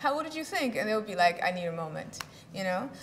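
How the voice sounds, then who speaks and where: A woman's voice carries audible room echo over noticeable background noise. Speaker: symposium speaker, activist. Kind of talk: conference talk. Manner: fast; halting, many fillers and repetitions.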